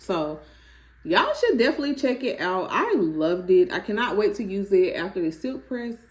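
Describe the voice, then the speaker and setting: At a moderate pace, a woman speaks in a somewhat breathy voice with very wide pitch swings. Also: fairly high pitch for a woman. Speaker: natural hair vlogger. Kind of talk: product review vlog. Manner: animated.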